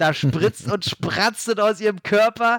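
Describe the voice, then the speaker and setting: Captured with a dry, close sound and no echo in a very clean recording with a silent background, a man speaks with ordinary pitch variation. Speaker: film podcaster and horror writer. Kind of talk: casual chat. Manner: animated.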